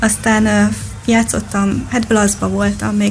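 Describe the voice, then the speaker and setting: Music can be heard behind the voice. The delivery comes at a fairly slow pace. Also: woman. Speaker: darts player. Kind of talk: interview. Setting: radio studio.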